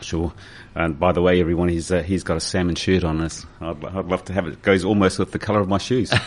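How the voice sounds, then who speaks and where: Very fast and very deep, a man in a New Zealand accent talks with fairly even intonation. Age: 60s. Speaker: radio host. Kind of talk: radio interview.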